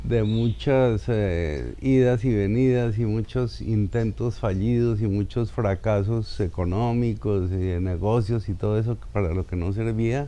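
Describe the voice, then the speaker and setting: A normal speaking voice moves at a fairly slow pace with ordinary pitch variation and hardly any pauses. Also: man, fairly low pitch for a man. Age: 60s. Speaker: actor. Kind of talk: personal life story interview.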